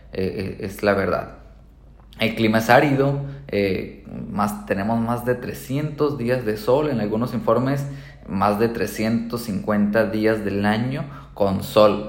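Amid audible room echo, a man speaks at a very slow pace with long, frequent pauses and ordinary pitch variation. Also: medium pitch for a man. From Colombia. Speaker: real estate agent. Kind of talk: podcast monologue. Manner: halting, many fillers.

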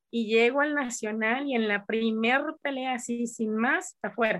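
An unremarkable speaking voice from a woman, fairly high-pitched and with ordinary pitch variation. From Mexico, Coahuila. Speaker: karate teacher. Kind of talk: interview.

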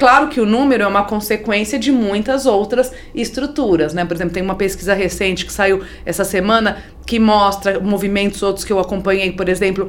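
A woman speaks at a fairly quick pace with noticeable background noise. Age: 50s. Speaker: NGO executive, economist. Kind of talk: interview conversation.

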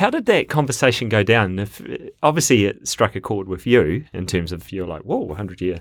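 Speaking at a fairly quick pace with a New Zealand accent, a man with a fairly low voice uses lively intonation and big swings in loudness, on a very clean recording with a silent background. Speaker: podcast host. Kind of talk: casual chat. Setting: studio.

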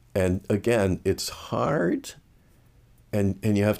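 A man's slow-ish, fairly unhurried speech with vocal fry and a dark, mellow tone, on a very clean recording with a silent background. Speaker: evangelical minister and author. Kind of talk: interview.

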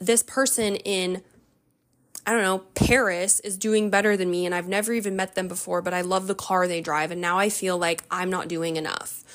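Using a plain, everyday voice, a woman speaks at a moderate pace and medium pitch with ordinary pitch variation. The recording is very clean, with a silent background. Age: 30s. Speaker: podcast host, stay-at-home mom. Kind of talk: casual monologue. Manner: casual with frequent fillers.

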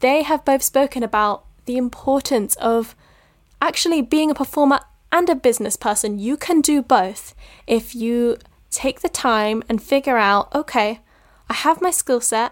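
In a dry, close sound with no echo and a very clean recording with a silent background, a woman with a high pitch talks at a moderate pace with ordinary pitch variation. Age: 20s. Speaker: drama student and podcast host. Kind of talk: casual monologue.

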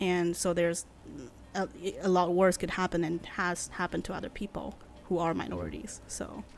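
A woman at a fairly low pitch with vocal fry, monotone, flat intonation and long, frequent pauses. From China. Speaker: podcast host on Chinese history. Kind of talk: casual interview chat. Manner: hesitant, many fillers and laughs.

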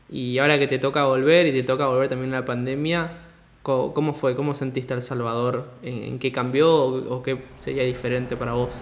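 A man's medium-pitched, monotone, flat delivery at a fairly quick pace. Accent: Rioplatense. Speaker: podcast host. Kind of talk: interview. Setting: call.

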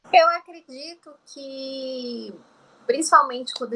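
A woman speaks at a very slow pace. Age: 30s. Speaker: beauty and fashion influencer, entrepreneur. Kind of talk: interview conversation.

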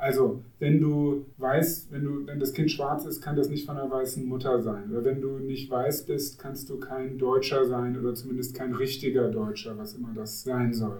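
A man talks at a moderate pace with hardly any pauses, his medium-pitched voice keeping a fairly even intonation. Noticeable background noise runs under the recording. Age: 40s. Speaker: pastor. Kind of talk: podcast discussion.

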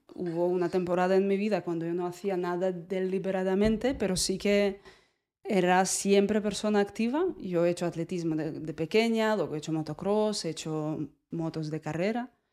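A woman with a Russian accent speaks at a moderate pace in a medium pitch, her dark, mellow tone moving with ordinary pitch variation. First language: Russian (speaking Spanish). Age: 30s. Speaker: movement teacher. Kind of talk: casual chat.

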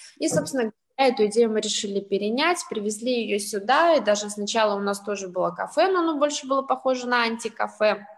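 A woman with an unremarkable speaking voice talks at a fairly quick pace, her fairly high pitch carried by lively intonation. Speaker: social entrepreneur, senior centre representative. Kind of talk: panel discussion.

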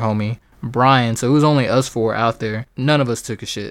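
Here a man speaks in an ordinary speaking voice at medium pitch with fairly even intonation. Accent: American. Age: 20s. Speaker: podcast host. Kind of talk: casual monologue.

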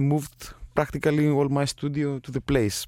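A man with a Greek accent speaks at a moderate pace, his voice fairly high in pitch with a dark, mellow tone. The recording is very clean, with a silent background. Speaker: composer and sound designer. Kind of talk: interview.

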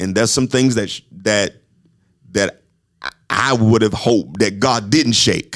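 A man's fairly low-pitched voice in an Alabama accent, with ordinary pitch variation and long, frequent pauses. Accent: Southern US, Alabama. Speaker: podcast host and apostle. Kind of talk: casual chat. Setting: studio.

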